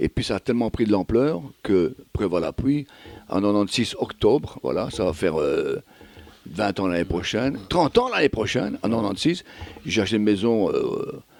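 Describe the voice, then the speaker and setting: Recorded dry and close with no echo, a man talks in an ordinary speaking voice at a fairly low pitch, using lively intonation at a moderate pace. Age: 60s. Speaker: singer-songwriter. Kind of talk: radio interview.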